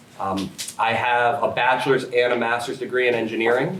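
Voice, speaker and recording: A man talks in a monotone with flat intonation and an American accent. Audible room echo and noticeable background noise surround his voice. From upstate New York, Schenectady County. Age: 30s. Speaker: political candidate. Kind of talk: candidate forum speech. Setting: public forum room, no microphones. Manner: loud.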